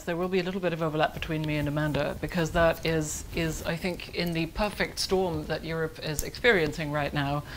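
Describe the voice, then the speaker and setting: A woman with a fairly low pitch speaks with ordinary pitch variation, and there is audible room echo. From Germany. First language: German. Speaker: foreign policy analyst. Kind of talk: conference panel talk. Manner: fast.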